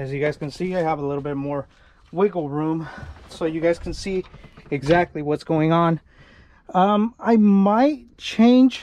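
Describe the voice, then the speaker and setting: A man with a high pitch and ordinary pitch variation speaks at a fairly slow pace with long, frequent pauses, over light background noise in a dry sound with no echo. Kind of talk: casual tutorial chat. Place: garden. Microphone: phone near.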